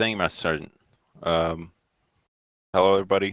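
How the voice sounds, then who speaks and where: Recorded very cleanly against a silent background, with a dry, close sound and no echo, a man speaks at a very deep, low pitch with fairly even intonation. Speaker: gaming clan member, university student. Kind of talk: casual podcast interview.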